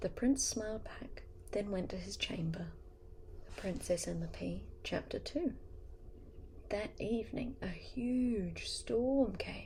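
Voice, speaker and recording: Soft-spoken and gentle in tone, a woman talks at a very slow pace with long, frequent pauses. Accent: New Zealand. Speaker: ASMR artist. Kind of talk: bedtime story reading. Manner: soft-spoken, gentle.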